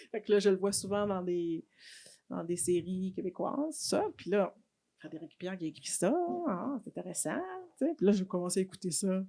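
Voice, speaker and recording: A woman speaks at a moderate pace with lively intonation and a dark, mellow tone. She leaves long, frequent pauses. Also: medium pitch for a woman. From Quebec, Haitian family. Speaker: politician and nurse. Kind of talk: casual chat. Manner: animated.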